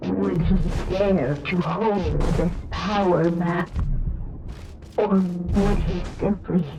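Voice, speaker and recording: A woman uses a put-on, robotic character voice at a fairly low pitch, speaking very slowly. Long, frequent pauses break it up, and clear background noise runs underneath. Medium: video game. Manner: repetitive, mechanical.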